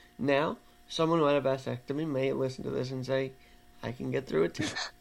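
A man speaks in a normal speaking voice at a fairly quick pace. His pitch sits fairly high. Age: 20s. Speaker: podcast host. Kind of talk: casual chat. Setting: video call.

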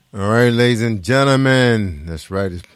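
A man's animated tone at a moderate pace, with ordinary pitch variation. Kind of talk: radio DJ patter, hyped-up gospel radio show hosting with call-and-response catchphrases. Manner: animated, high-energy, joking and chatty.

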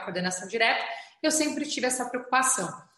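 A woman talks at a very fast clip in a high voice with lively intonation. The room echo is audible. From São Paulo city outskirts, Brazil. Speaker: state government official. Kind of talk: interview. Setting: video call.

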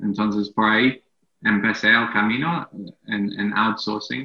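A man speaks with an English accent. His pitch is fairly low and his pace fairly slow. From England. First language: English (speaking Spanish). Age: 30s. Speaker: entrepreneur. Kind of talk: interview. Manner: halting.

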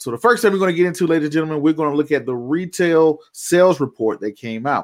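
In a very clean recording with a silent background, a man with an American accent speaks in a fairly high pitch, his tone animated and his intonation lively. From US South, Georgia. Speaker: investing show host. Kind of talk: radio-style live show host patter, financial commentary. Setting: home office, live stream. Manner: animated, showman-like; casual, chatty, with filler words.

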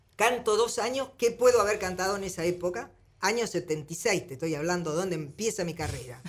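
A woman with an unremarkable speaking voice, medium pitch, lively intonation and a fairly quick pace. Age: 60s. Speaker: singer. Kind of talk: interview.

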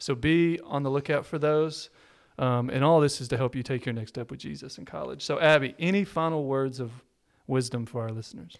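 Here a man with an American accent has an unremarkable speaking voice at a medium pitch, talking at a fairly quick pace. The recording is very clean, with a silent background. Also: ordinary pitch variation. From Texas. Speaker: pastor. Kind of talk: casual chat.

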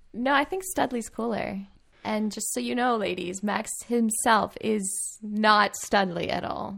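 A woman with a plain, everyday voice speaks at a fairly high pitch and fairly slow pace, with ordinary pitch variation. The recording is very clean, with a silent background. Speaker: podcast host. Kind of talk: casual interview chat. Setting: virtual call recorded in quarantine.

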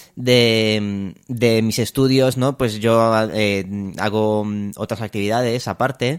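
A man speaks at a very slow pace. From Romania. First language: Romanian (speaking Spanish). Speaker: music student. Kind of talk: interview. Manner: halting.

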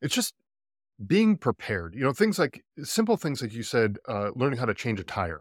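A man speaks in a plain, everyday voice at a moderate pace with lively intonation, recorded very cleanly against a silent background with a dry, close sound and no echo. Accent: American. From US East Coast. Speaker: podcast host, military veteran. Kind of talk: casual interview chat.

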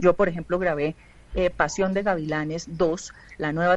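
A woman's normal speaking voice, fairly low in pitch, at a moderate pace with ordinary pitch variation. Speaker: film and TV producer. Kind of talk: radio panel discussion.

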